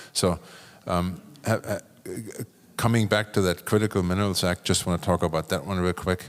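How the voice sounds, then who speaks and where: A man with a German accent and a very deep, low pitch, fairly quick yet broken by long, frequent pauses, fairly even in intonation, on a very clean recording with a silent background. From Germany. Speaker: business executive, panelist. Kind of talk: panel discussion. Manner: casual, halting with repetitions.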